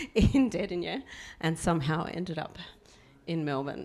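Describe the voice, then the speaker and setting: A woman talks at a moderate pace with vocal fry. Her pitch is very deep and low. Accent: Australian. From Australia. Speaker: former diplomat. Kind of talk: panel introduction.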